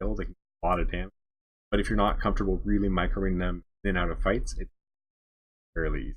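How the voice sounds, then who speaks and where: A soft-spoken man at a very fast pace, with long, frequent pauses. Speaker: game developer coaching a player. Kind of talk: tutorial. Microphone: too quiet, moving closer to mic.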